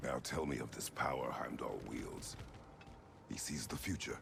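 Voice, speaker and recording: Whispering in a put-on character voice, a man goes at a moderate pace amid loud background noise. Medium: video game. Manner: terse, formal, no contractions.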